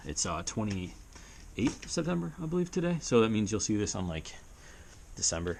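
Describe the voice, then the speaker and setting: A man talks at a fairly quick pace with a fairly low pitch and very wide pitch swings. There is audible room echo. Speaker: motovlogger. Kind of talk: garage tutorial vlog. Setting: small home garage. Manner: fast, hyper.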